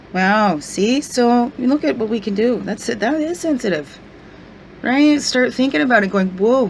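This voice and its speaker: With noticeable background noise, a woman in a fairly high voice speaks at a moderate pace, her pitch swinging very widely. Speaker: spiritual guidance vlogger. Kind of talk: casual video vlog.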